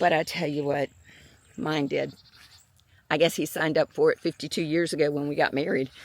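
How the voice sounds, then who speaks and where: A woman with a very deep, low pitch talks at a fairly quick pace with ordinary pitch variation and long, frequent pauses, in a dry, close sound with no echo. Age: 70s. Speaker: YouTuber grieving her mother. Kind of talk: personal vlog testimony. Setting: outdoors on a morning walk. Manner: halting, emotional.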